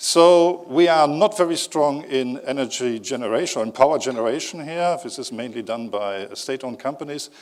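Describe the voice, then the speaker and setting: Talking at a fairly quick pace with hardly any pauses, a man with a German accent uses a fairly high pitch and lively intonation. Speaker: company executive. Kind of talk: conference talk. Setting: stage with audience. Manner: hesitant with fillers.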